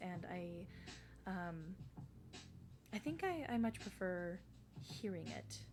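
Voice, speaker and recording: Background music is present. The pitch varies in an ordinary way. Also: woman. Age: 30s. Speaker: streamer. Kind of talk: casual chat. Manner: animated.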